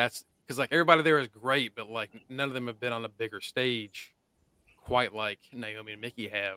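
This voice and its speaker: A man's bright, sharp voice at a medium pitch, dry and close with no echo. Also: ordinary pitch variation, fairly quick pace, big swings in loudness. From South Carolina, US South. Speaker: podcast producer and co-host. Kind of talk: casual chat.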